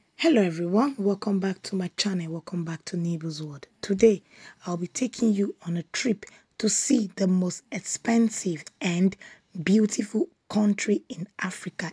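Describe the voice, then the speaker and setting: Somewhat breathy, with a dark, mellow tone, a woman talks at a moderate pace with ordinary pitch variation against a quiet background. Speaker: vlogger. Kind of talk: casual vlog chat. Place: car. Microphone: phone near.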